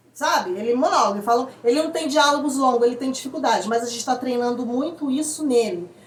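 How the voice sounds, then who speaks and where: A woman's high voice at a very fast pace, with ordinary pitch variation, audible room echo and noticeable background noise. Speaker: parent vlogger. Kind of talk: casual explainer vlog. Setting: at home.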